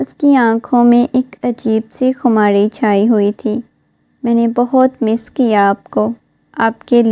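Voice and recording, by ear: The background is silent save for the speech, hardly any noise. A natural voice reads aloud.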